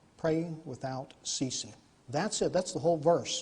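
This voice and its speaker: The man's voice is somewhat breathy. His pitch moves in an ordinary way. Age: 50s. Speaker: lay speaker giving testimony. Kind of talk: testimony. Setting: church. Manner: conversational.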